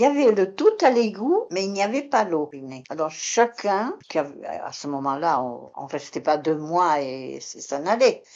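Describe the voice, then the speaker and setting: This woman's fairly low voice moves through very wide pitch swings and big swings in loudness. She speaks at a fairly slow pace. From Béarn, southwest France. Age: 80s+. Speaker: retired concierge. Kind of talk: interview testimony. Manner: halting; calm.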